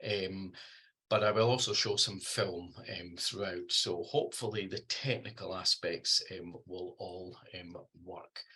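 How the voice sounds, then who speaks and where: A man speaks in a Scottish accent at a fairly slow pace. His loudness shows big swings. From Scotland. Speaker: researcher and trainer in deafblind communication. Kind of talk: lecture. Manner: hesitant, many fillers; can speed up when excited.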